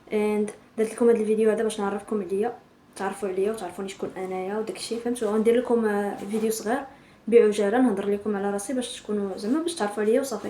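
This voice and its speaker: Speaking very fast with fairly even intonation, a woman has a fairly high pitch, and noticeable background noise is present. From Morocco, Tan-Tan. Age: 20s. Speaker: vlogger. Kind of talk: casual intro vlog.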